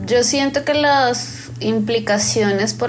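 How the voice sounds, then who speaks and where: There is noticeable background noise as this woman talks. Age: 30s. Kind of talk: personal testimony interview.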